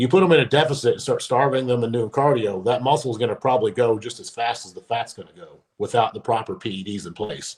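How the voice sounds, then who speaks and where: A man with a Kentucky accent talks very fast with hardly any pauses, his somewhat breathy, medium-pitched voice showing ordinary pitch variation and big swings in loudness. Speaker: former pro bodybuilder. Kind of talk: podcast interview.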